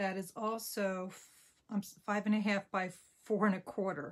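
A woman with an American accent speaks at a fairly slow pace with fairly even intonation. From New Jersey. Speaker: papercraft demonstrator. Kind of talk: crafting tutorial. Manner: casual with frequent fillers.

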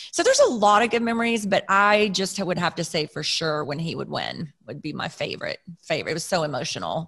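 A woman with a Texan accent at a fairly quick pace, hardly any pauses, against a quiet background. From Texas, Plano; Texas. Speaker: racing driver's wife; podcast guest. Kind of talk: storytelling in casual chat. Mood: emotional, heartfelt. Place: home room. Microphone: studio mic.

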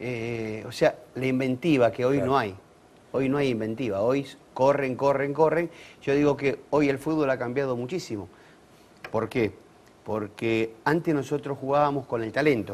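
A man's speech moves fairly slowly, with ordinary pitch variation. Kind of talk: interview answer. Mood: nostalgic, lively. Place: studio. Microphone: lapel.

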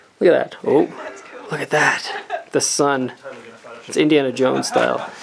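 Light background noise sits behind a man speaking at a moderate speed. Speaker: travel vlogger. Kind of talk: casual vlog chat. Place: open country. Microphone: phone near.

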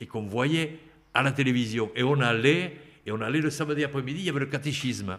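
The setting is quiet. A man's voice is heard. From French Pyrenees; France. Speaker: retired rugby player; podcast guest. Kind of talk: interview; interview answer. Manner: halting. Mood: nostalgic storytelling. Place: home room. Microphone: studio mic.

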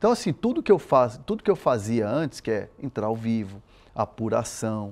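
The speaker is a man. He talks at a moderate pace. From Brazil, São Paulo, raised by Chilean parents. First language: Spanish (speaking Portuguese). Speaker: sports reporter. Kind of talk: interview. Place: studio. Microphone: lapel.

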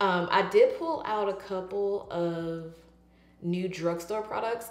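A woman speaks with audible room echo. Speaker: beauty vlogger. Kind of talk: casual vlog chat. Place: bathroom. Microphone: camera far.

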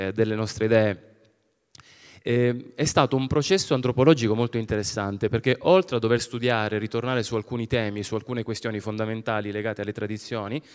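A man's very fast speech with ordinary pitch variation against a quiet background. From Calabria, Arbëreshë community (Spezzano Albanese); Calabria, Italy. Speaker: film director; public presenter. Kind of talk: event presentation talk. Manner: hesitant, many fillers. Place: stage. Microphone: handheld.

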